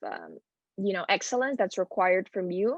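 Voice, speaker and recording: A woman's medium-pitched voice with a Spanish accent and fairly even intonation, in a dry, close sound with no echo. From Spain. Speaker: transfer student panelist. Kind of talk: panel talk.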